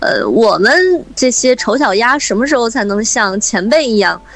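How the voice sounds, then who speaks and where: A woman pitched fairly high talks at a moderate pace with ordinary pitch variation, while noticeable background noise carries on behind her. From Hebei, Shijiazhuang. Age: 30s. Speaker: radio host. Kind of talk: interview.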